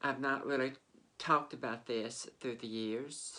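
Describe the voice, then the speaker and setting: A woman with a Southern US accent and a very deep, low pitch. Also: quiet background. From Mississippi, US South. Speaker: vlogger. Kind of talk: personal storytelling. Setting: sitting on a bed. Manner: halting.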